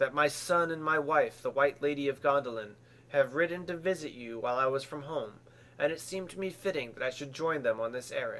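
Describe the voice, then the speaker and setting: Putting on a character voice, a man speaks at a fairly quick pace in a strained, fairly high pitch. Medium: read story. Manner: restrained bitterness.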